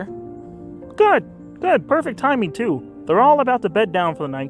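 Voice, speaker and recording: A put-on character voice at a moderate pace, with clear music in the background. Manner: warm, gentle.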